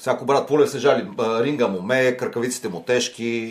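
Moderate pace and ordinary pitch variation in a plain, everyday voice. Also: man. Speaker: sports podcast host. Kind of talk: interview. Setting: studio.

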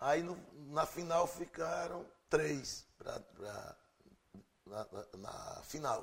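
Fairly high in pitch, a man speaks very slowly with lively intonation and vocal fry. He leaves long, frequent pauses. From Pernambuco, Brazil. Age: 50s. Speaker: radio presenter and musician. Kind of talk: interview.

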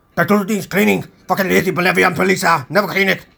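Putting on a character voice, a man growls at a high pitch and a very fast pace. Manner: snarling.

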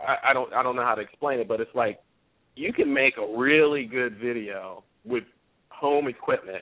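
A man with an American accent uses an unremarkable speaking voice at medium pitch, with ordinary pitch variation at a moderate pace. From US, southern Maryland. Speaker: musician, old friend of host. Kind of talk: casual chat.

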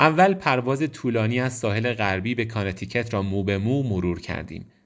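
A man speaks in a normal speaking voice at a medium pitch and moderate pace, on a very clean recording with a silent background. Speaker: audiobook narrator. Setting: studio.

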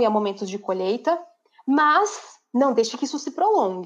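In a normal speaking voice, a woman talks at a moderate pace with fairly high pitch and lively intonation. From Brazil, São Paulo state interior (Bauru). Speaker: LinkedIn content creator and marketing teacher. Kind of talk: casual interview on a live stream.

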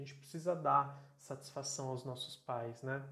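A man with a fairly high pitch speaks at a fairly slow pace and sounds somewhat breathy. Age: 30s. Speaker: podcaster. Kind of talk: solo monologue.

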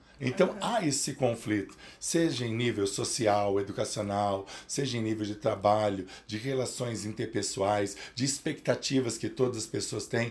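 A somewhat breathy man talks at a fairly slow pace. His pitch varies in an ordinary way. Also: medium pitch for a man. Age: 50s. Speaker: psychoanalyst. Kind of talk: interview.

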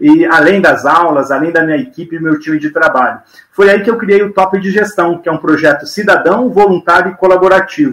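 With lively intonation, a man speaks at a fairly quick pace in a high pitch. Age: 50s. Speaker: business mentor, former TV executive. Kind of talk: podcast interview. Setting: live video podcast.

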